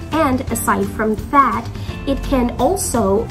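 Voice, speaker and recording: With clear music behind her, a woman is talking. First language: not English. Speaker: English teacher. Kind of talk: classroom lesson to students. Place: home room. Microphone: phone near.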